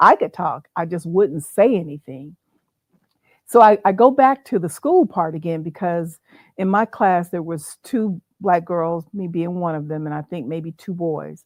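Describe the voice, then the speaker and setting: In a normal speaking voice, a woman with an American accent speaks at a fairly slow pace with a fairly low pitch, ordinary pitch variation and big swings in loudness, against a quiet background with a dry, close sound and no echo. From Arizona. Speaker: playwright. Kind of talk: interview. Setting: livestream.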